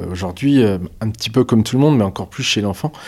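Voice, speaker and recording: This very clean recording with a silent background captures a man speaking at a medium pitch. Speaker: dietitian nutritionist. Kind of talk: interview. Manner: hesitant, many fillers.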